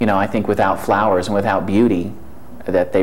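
A man speaks with a very deep, low pitch and fairly even intonation. Light background noise is present. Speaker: interviewee. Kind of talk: interview answer. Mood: relaxed, reflective. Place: studio. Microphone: lapel.

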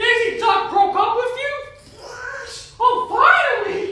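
A cartoonish character voice at an extremely high pitch, delivered at a fairly slow pace. A strong echo surrounds it.

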